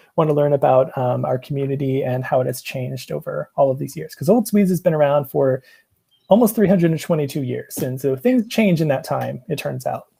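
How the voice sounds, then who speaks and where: A man with an American accent speaks at a fairly quick pace in a fairly high pitch. His tone is dark and mellow and somewhat breathy. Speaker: museum researcher and presenter. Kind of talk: casual chat. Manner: halting, many fillers.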